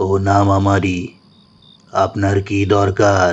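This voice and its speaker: Put-on character voice from a man, fairly low in pitch, flat and monotone, at a moderate pace. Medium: read story. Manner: curt, secretive.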